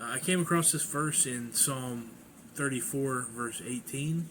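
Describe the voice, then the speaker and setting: A man speaks at a fairly slow pace with ordinary pitch variation, and audible room echo surrounds his voice. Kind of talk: personal testimony. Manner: halting.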